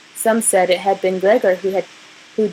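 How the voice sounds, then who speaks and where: Someone with an American accent talks over noticeable background noise. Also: woman. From New Mexico. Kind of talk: book passage reading.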